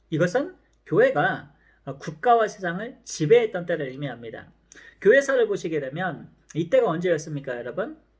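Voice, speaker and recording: The man's voice is high-pitched and swings very widely in pitch. He talks at a fairly slow pace. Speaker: professor. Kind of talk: lecture.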